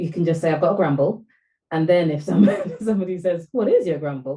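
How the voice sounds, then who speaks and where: Somewhat breathy and dark, mellow in tone, a woman with a very deep, low pitch talks at a fairly quick pace with ordinary pitch variation. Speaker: podcast co-host. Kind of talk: casual discussion.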